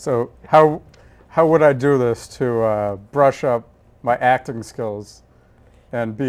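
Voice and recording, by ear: The speaker has an American accent and ordinary pitch variation. The pace is very slow, with long, frequent pauses. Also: man.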